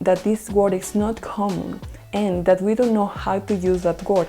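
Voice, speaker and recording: With music in the background, a woman with a non-native accent speaks at a medium pitch. Her pace is moderate and her intonation fairly even. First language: Spanish. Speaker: English learner sharing test tips. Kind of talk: educational talk to camera.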